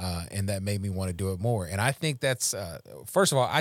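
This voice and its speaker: A man talks with a Louisiana accent and lively intonation. The recording is very clean, with a silent background. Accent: Louisiana Southern US. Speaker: recovery podcast host. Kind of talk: casual faith-based recovery chat. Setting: Facebook Live podcast.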